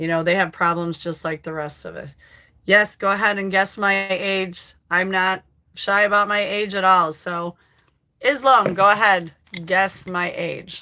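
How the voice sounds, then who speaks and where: A woman's normal speaking voice in an American accent, medium-pitched and fairly slow, with fairly even intonation and big swings in loudness. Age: 60s. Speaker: livestreamer. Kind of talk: casual live chat reading comments. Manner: chatty, with many fillers.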